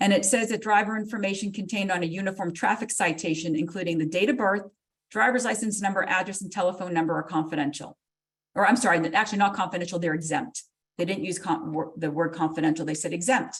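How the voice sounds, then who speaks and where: At a very fast pace, a woman speaks somewhat breathily at a medium pitch with ordinary pitch variation. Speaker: court clerk staff presenter. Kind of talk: legal education webinar presentation. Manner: animated.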